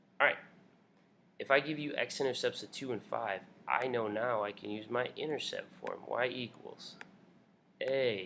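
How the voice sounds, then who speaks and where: This man takes long pauses, and often. His delivery is fairly slow. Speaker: math teacher. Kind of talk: tutorial.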